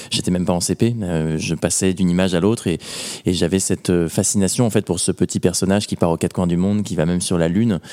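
Talking at a very fast pace, a man has a very deep, low pitch. His tone is dark and mellow, with fairly even intonation. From Normandy, France. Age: 20s. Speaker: adventurer. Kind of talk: interview. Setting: museum.

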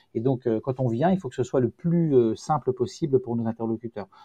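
A man talks at a fairly quick pace, his medium-pitched voice somewhat breathy with a dark, mellow tone. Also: dry, close sound with no echo. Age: 50s. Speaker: company founder. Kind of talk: interview. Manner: halting.

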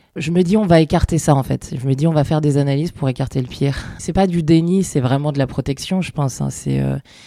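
Very fast speech comes in a dark, mellow tone. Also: woman, very deep, low pitch for a woman, ordinary pitch variation. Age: 40s. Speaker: marketing director, mother of a seriously ill child. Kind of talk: testimony. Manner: hesitant, many fillers.

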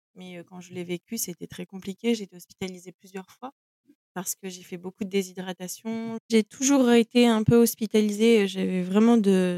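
At a moderate pace and medium pitch, a woman speaks in a dark, mellow tone with ordinary pitch variation, the sound dry and close with no echo. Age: 20s. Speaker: content creator, mother sharing perinatal loss. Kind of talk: personal testimony interview. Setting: podcast interview. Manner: hesitant, with fillers.

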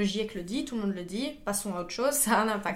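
A woman talks at a fairly quick pace in a fairly high voice, with audible echo from the room. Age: 20s. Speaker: engineer and climate activist. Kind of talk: podcast interview.

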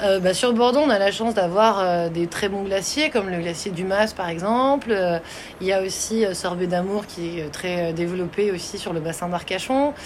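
A woman talks at a moderate speed, with background noise clearly heard behind her. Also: medium pitch for a woman, ordinary pitch variation. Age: 30s. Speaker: pastry and ice cream instructor. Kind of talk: interview.

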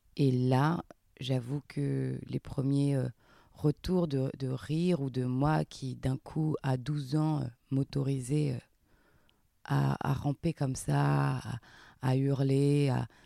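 A woman with a very deep, low pitch and a dark, mellow tone speaks at a very slow pace with long, frequent pauses and fairly even intonation, on a very clean recording with a silent background. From southern France, near Montpellier. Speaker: actress. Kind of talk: interview. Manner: halting.

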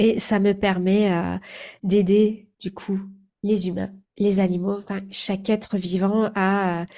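Very slowly, a woman speaks in a dark, mellow tone with monotone, flat intonation. The recording is very clean, the background silent. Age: 40s. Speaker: animal communicator. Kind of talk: interview.

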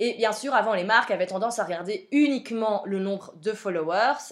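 The woman moves along at a fairly quick pace. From Belgium. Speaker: podcast host, social media coach. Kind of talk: solo podcast monologue. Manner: casual, frequent fillers.

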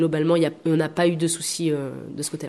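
A woman talks in a fairly low pitch. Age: 30s. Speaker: temp postal worker and community space founder. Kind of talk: interview. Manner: hesitant.

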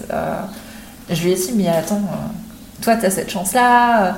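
Amid noticeable background noise and audible room echo, a woman speaks at a fairly slow pace and medium pitch with ordinary pitch variation. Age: 20s. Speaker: mother sharing birth story. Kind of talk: testimony. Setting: in person, recorded together.

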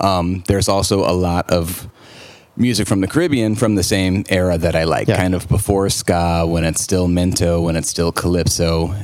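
In an American accent, a man with a very deep, low pitch talks at a moderate pace. His intonation is fairly even and his loudness very even. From US Midwest, St. Louis, Missouri. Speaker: jazz trombonist. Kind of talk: casual interview.

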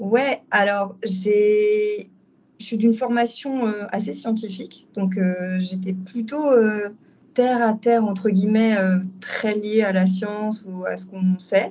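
Pitched in the medium range, a woman's speech unfolds at a very slow pace. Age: 30s. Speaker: doula. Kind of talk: testimony. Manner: halting.

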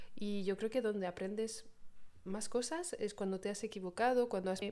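In a very clean recording with a silent background, a woman speaks at a medium pitch in a dark, mellow tone. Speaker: podcast co-host. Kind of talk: casual chat. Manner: laughs often.

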